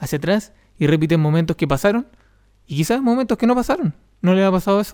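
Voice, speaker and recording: A man talks very fast with lively intonation, the sound dry and close with no echo. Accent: Chilean. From Chile, Los Ángeles. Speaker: podcast host. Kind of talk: solo podcast monologue. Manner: halting, with repetitions.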